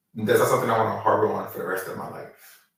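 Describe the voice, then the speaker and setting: A man's voice with audible room echo. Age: 30s. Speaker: chef, caterer. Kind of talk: interview, personal testimony. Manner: halting, many fillers.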